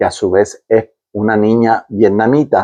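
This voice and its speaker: With a dark, mellow tone, a man talks at a fairly slow pace. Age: 70s. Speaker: war veteran. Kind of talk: interview. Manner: halting, with many repetitions.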